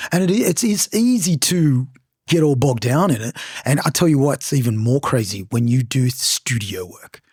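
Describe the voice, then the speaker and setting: A man with a somewhat breathy, medium-pitched voice talks at a moderate pace with lively intonation, in a very clean recording with a silent background and a dry, close sound with no echo. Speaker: podcast host and singer. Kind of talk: casual chat. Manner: animated.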